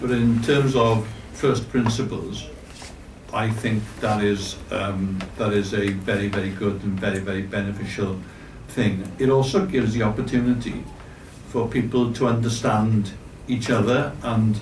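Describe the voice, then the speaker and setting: With fairly even intonation and a fairly low pitch, a man speaks at a moderate pace amid audible room echo. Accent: Welsh. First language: Welsh. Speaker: board member of a cultural organisation. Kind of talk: speech at a forum. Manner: halting.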